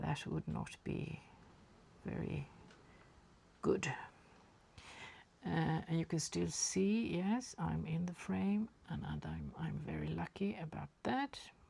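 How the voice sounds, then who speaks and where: Pausing long and often, a woman with a Swedish accent speaks very slowly. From Sweden. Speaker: watercolour artist. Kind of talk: painting tutorial. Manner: halting.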